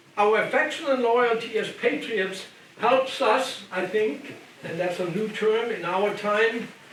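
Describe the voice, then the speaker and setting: A man with a German accent speaks at a very slow pace in a high pitch, with audible room echo and noticeable background noise. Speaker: retired biblical scholar and lecturer. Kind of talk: lecture. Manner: halting with repetitions.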